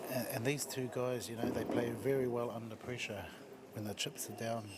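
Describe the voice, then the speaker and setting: A man with a New Zealand accent talks quietly at a moderate pace and a medium pitch, his intonation fairly even, with noticeable background noise and audible room echo. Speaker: pool commentator. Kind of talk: live commentary. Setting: commentary box at venue. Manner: talking quietly.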